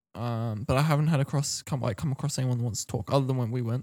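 A man's medium-pitched, dark and mellow voice, very fast and fairly even in intonation, dry and close with no echo, on a very clean recording with a silent background. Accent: Australian. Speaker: podcast co-host. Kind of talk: casual chat.

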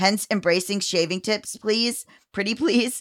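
A plain, everyday voice from a woman, medium in pitch, with ordinary pitch variation and a moderate pace. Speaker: podcast co-host, writer and filmmaker. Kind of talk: casual chat.

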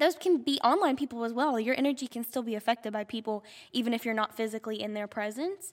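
A woman speaks with a high pitch and ordinary pitch variation. Her tone is animated and her pace fairly quick. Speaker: podcast host. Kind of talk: casual chat. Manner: halting.

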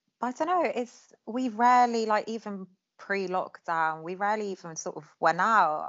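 With an Essex accent, a woman speaks at a moderate pace in a fairly high voice, her intonation lively and her loudness swinging widely. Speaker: childhood friend. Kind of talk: casual chat.

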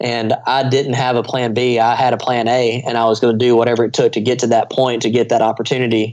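A man's very fast, monotone speech in an American accent, medium in pitch and very even in loudness, against a quiet background. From US South, small-town Louisiana. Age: 20s. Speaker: aerobatic air show pilot. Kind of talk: casual interview.

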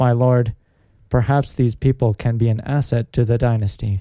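A man puts on a robotic character voice of medium pitch. He speaks at a moderate pace in a monotone, flat intonation. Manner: cold.

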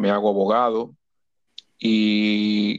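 A man is speaking. His pitch is fairly low. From Dominican Republic, Santo Domingo. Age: 50s. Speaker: lawyer and Red Cross volunteer. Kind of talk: interview.

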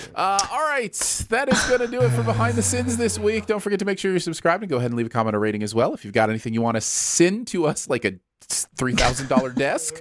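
A man at a very fast pace with very wide pitch swings, music in the background. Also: medium pitch for a man. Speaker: podcast host and writer. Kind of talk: casual chat.

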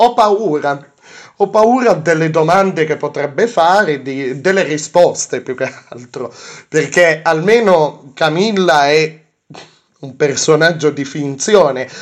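A man's fairly high voice with ordinary pitch variation, at a very slow pace. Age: 20s. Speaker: podcast host. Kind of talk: casual chat. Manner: halting.

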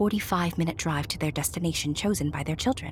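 A woman with fairly low pitch and lively intonation, amid noticeable background noise. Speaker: narrator. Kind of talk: audiobook-style scripted narration of a fairy tale. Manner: storyteller's warm, measured, expressive delivery with playful asides.

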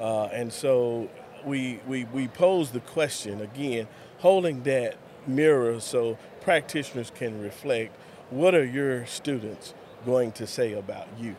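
A man talks at a fairly slow pace with a West Texas accent. His pitch is medium, with ordinary variation. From West Texas (Lubbock). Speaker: school superintendent. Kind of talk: interview.

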